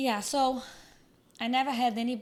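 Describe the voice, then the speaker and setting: A woman speaks in a Brazilian Portuguese accent. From Brazil, Minas Gerais. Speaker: fitness coach and content creator. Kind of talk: podcast interview.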